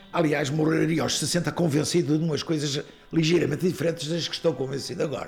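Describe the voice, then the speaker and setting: A man with a fairly high pitch, hardly any pauses and music in the background. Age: 70s. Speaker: singer-songwriter, teacher and coach. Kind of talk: elder life story, reflective interview recollection of the dictatorship years. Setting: interview.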